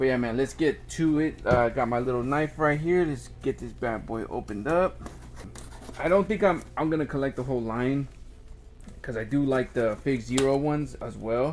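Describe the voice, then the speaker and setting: A medium-pitched man at a fairly quick pace, with noticeable background noise. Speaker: toy reviewer. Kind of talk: unboxing review, casual. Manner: halting, many fillers.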